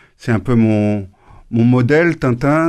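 A man with a plain, everyday voice speaks at a medium pitch with ordinary pitch variation over a quiet background. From Normandy, France, family from Tunisia and Corsica. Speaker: former humanitarian worker and author. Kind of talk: radio interview.

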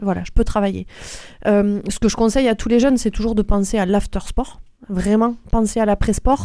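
A woman speaks at a moderate pace in a fairly high voice with a dark, mellow tone. Her intonation is monotone and flat. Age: 40s. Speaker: nurse and semi-professional athlete. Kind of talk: interview.

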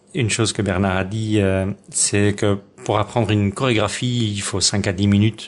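Speaking at a fairly slow pace, a man has a fairly low pitch. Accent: Dutch. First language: Dutch (speaking French). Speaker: folk dancer and dance teacher. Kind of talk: radio interview. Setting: at home. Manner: halting.

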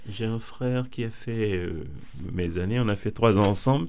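A man talks at a fairly slow pace in a medium pitch. His tone is dark and mellow, and audible room echo surrounds it. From Benin. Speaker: former evangelization school student. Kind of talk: radio interview. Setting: radio studio. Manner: halting, repeats words.

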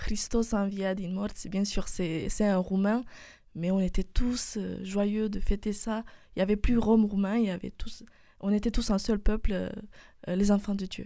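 A woman with a Romanian accent speaks at a fairly slow pace with long, frequent pauses, in a medium pitch and a dark, mellow tone. Her intonation is monotone and flat, in a very clean recording with a silent background. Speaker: university student. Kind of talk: radio interview. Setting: studio. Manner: halting.

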